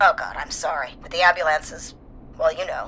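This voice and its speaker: In a put-on character voice, a female-sounding speaker talks fairly quickly with a raspy, calm tone over clear background noise. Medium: video game. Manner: calm, businesslike.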